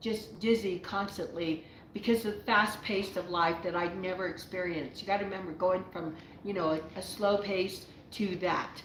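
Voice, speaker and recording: Over noticeable background noise and audible room echo, a woman speaks at a moderate pace with fairly even intonation. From Navajo reservation, US Southwest. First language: Navajo. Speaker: YouTuber answering viewer questions. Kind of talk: live Q&A, casual storytelling. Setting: live stream. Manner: rambling with frequent fillers and restarts.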